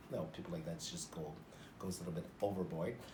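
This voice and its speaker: Noticeable background noise sits behind a man with a Canadian accent, a very deep, low pitch and fairly even intonation. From Northern Ontario, Canada. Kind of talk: interview answer. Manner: expressive, jovial.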